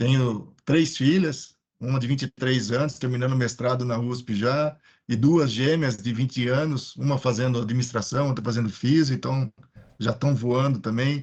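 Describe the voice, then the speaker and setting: This man has a medium-pitched, somewhat breathy voice. He keeps a moderate pace and fairly even intonation. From Piracicaba, interior of São Paulo state, Brazil. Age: 50s. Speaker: maintenance engineering consultant. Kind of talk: panel discussion in a live stream.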